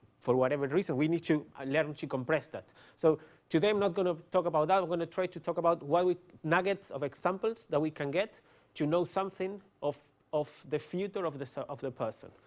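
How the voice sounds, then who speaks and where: Very fast delivery from a man with a high pitch and ordinary pitch variation. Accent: Argentine. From Argentina. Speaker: neuroscientist. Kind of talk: lecture. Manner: hesitant, many fillers.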